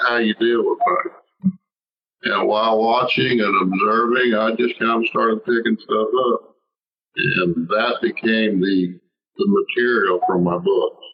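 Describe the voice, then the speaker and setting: This man has a Southern US accent. He speaks at a fairly slow pace. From US South, Alabama from teens; military bases before. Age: 60s. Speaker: novelist. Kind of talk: interview. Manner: halting, repeats words.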